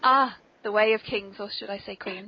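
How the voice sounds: A woman's voice with a slightly husky edge and fairly even intonation. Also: medium pitch for a woman, moderate pace.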